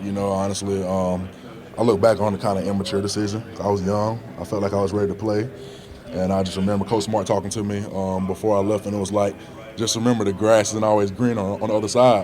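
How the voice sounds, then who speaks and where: A man's very fast, monotone, flat speech at fairly low pitch in an American accent, over noticeable background noise. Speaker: college football player, draft prospect. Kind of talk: press interview. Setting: media scrum at scouting combine. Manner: relaxed, many fillers.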